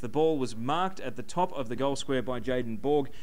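The pitch variation of this man's voice is ordinary. He speaks at a fairly quick pace. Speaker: web TV sports host. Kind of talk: sports panel discussion. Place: bar. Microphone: handheld.

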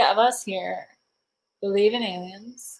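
A woman's animated tone at a fairly slow pace. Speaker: livestreamer and thrift reseller; livestreamer, thrift reseller. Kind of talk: casual livestream chat. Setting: livestream at home with chat. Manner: chatty, giggly, animated. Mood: cheerful, playful. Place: home room. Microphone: webcam.

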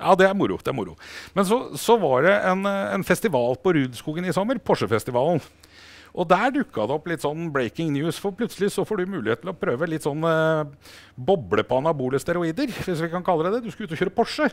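A man with a high pitch talks at a moderate pace with lively intonation. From Norway. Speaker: motorsport TV host. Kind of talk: studio interview show. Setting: studio. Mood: warm, upbeat, proud. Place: studio. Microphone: lapel.

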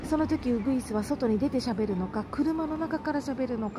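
A woman's high voice with very wide pitch swings over noticeable background noise. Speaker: election campaign announcer trainer. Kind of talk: instructional talk to camera. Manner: whispered.

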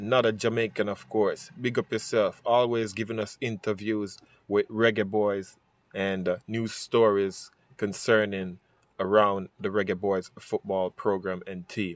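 In a dry, close sound with no echo, a man talks at a fairly slow pace with a fairly low pitch and monotone, flat intonation. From Jamaica. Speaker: sports YouTuber. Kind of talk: sports news commentary.

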